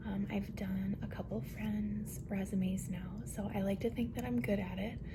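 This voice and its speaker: Moderate pace, with noticeable background noise. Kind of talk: ASMR roleplay, friend helping with a resume. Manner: soft, friendly, helpful.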